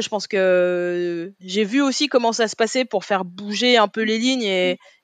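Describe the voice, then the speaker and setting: A woman at medium pitch, with a dry, close sound with no echo, against a quiet background. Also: hardly any pauses. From Paris, 18th arrondissement. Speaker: olympic athlete and deputy mayor. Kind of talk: interview conversation.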